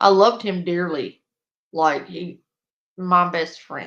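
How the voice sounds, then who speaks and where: With a Louisiana accent, a woman talks at a very slow pace in a fairly low pitch, her intonation fairly even. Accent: Cajun Southern US. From Louisiana, US South (Cajun). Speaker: streamer reacting to online drama. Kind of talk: casual livestream chat.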